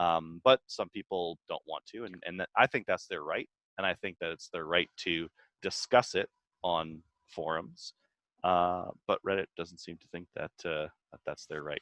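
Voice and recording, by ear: The sound is dry and close, with no echo. Delivery runs at a moderate pace with ordinary pitch variation. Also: man, low pitch for a man, fairly bright tone.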